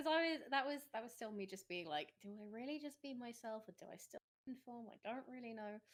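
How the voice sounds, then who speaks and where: A woman's fairly high voice with lively intonation, big swings in loudness, a fairly quick pace and hardly any pauses. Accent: English. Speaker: vet tech and streamer. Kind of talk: casual podcast interview. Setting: podcast.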